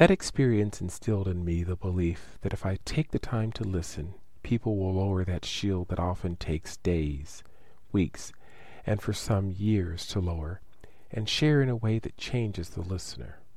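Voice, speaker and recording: The voice has an American accent and a dark, mellow tone. It moves at a moderate pace with ordinary pitch variation. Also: man, very deep, low pitch for a man. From United States. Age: 40s. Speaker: nurse practitioner. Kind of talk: reading aloud.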